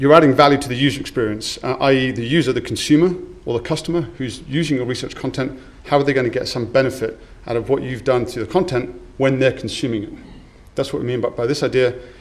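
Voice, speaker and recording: A man at medium pitch talking very fast with fairly even intonation, audible room echo and noticeable background noise. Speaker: conference speaker. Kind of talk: conference talk.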